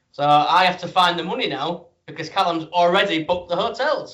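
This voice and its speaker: A man with a high pitch and ordinary pitch variation moves along at a fairly quick pace. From Britain. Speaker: wrestling podcast host. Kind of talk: casual interview chat.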